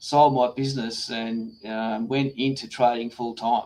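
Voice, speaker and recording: An Australian-accented man with a dark, mellow tone and medium pitch speaks fairly slowly with fairly even intonation. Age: 60s. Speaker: trader and Zen teacher. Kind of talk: interview. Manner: halting.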